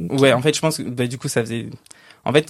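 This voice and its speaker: A man talks in a plain, everyday voice with fairly even intonation. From Île-de-France, rural village north of Cergy. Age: 30s. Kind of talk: casual chat.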